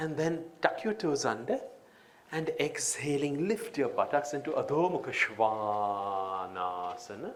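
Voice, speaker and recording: A man's fairly high voice with very wide pitch swings and a fairly slow pace. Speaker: yoga teacher. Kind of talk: yoga class instruction. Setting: live event. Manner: melodious.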